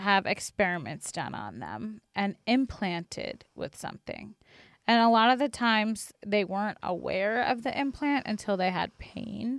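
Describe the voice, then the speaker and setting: A woman with a fairly high pitch and ordinary pitch variation speaks at a fairly slow pace, the sound dry and close with no echo against a quiet background. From Long Island, New York. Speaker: podcast co-host. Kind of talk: casual chat. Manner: hesitant, many fillers.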